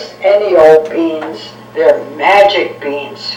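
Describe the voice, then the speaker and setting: A put-on character voice at a middle pitch speaks at a very slow pace. There is a slight echo. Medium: read story.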